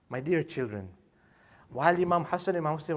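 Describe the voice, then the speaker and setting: The speaker's intonation is lively, and the room echo is audible. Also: man. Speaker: religious lecturer. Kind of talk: sermon. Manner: fast; halting.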